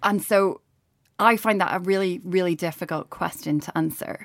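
On a very clean recording with a silent background, a woman speaks in a Northern Irish accent. Her pitch is fairly low, with ordinary variation, and her pace is moderate. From Northern Ireland. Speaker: journalist. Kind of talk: casual chat.

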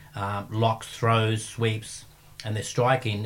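A man with an Australian accent speaks at a medium pitch in a somewhat breathy voice. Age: 50s. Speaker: martial arts coach and gym owner. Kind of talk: casual interview chat. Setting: studio.

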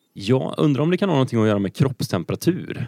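The sound is dry and close with no echo. A man uses lively intonation in a dark, mellow tone. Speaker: quiz podcast co-host. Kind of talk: casual chat. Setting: studio.

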